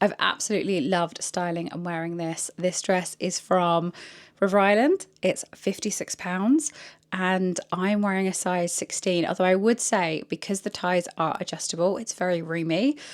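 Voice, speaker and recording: Speaking with a British accent at a moderate pace, a woman uses a medium pitch and ordinary pitch variation on a very clean recording with a silent background. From UK. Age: 30s. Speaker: fashion content creator. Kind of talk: try-on haul vlog. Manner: chatty, enthusiastic.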